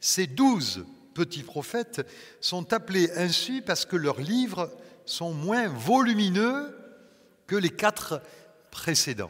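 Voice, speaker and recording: A man with a high pitch speaks at a very slow pace, with long, frequent pauses and very wide pitch swings. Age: 60s. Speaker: pastor. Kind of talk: sermon.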